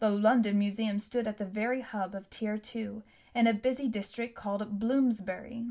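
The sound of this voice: With fairly even intonation, the clip features an unforced reading voice.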